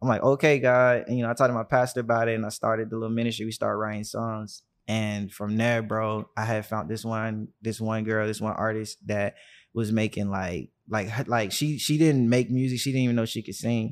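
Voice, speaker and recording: A man with a medium-pitched voice speaks at a fairly quick pace with fairly even intonation. The recording is very clean, with a silent background. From US South, Birmingham, Alabama. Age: 20s. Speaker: artist manager. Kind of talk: casual interview.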